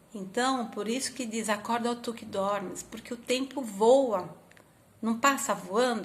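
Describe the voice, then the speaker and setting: Fairly slow, high-pitched speech from a woman, with pitch that varies in an ordinary way. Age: 50s. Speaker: spiritist lecturer. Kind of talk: religious talk.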